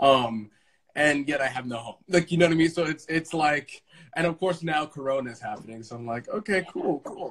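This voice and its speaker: Speaking at a fairly quick pace with an American accent, a man uses a fairly high pitch and ordinary pitch variation, with big swings in loudness against a quiet background. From Brooklyn, New York. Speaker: Broadway actor. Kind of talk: casual chat. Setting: Instagram Live video from home. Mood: upbeat, optimistic despite troubles. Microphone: video call.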